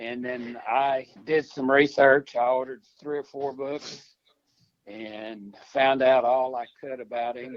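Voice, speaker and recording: A man speaks at a very slow pace in a medium pitch, with monotone, flat intonation and big swings in loudness. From New Mexico. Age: 80s+. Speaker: veteran's nephew. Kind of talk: interview. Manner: halting.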